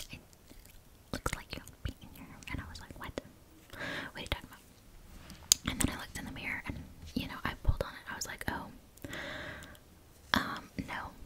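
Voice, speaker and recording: Whispering in a relaxed tone, a woman speaks at a moderate pace. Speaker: ASMR creator. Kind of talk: ASMR whisper ramble. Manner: whispered; soft-spoken, relaxed. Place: home room. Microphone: studio mic.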